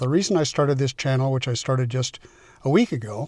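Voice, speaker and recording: A somewhat breathy voice at a very fast pace, with ordinary pitch variation, in a dry, close sound with no echo. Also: man. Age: 70s. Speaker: vlogger. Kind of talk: casual vlog monologue. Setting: in a car, then outdoors on a walk. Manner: halting, many fillers.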